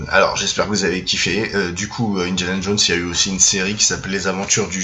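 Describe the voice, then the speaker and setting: A man speaks at a very fast pace with a fairly low pitch. Audible room echo and noticeable background noise fill the recording. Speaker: film YouTuber. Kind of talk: casual monologue. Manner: hesitant, many fillers.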